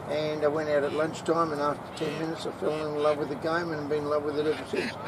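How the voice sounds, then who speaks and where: A man with an Australian accent speaks at a fairly high pitch. Audible room echo and noticeable background noise fill the recording. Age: 70s. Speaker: veteran cricketer and league founder. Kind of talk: interview.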